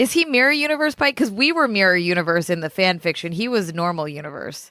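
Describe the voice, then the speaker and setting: Talking at a very fast pace, a woman with a bright, sharp tone and medium pitch makes very wide pitch swings. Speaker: podcast host. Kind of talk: casual chat.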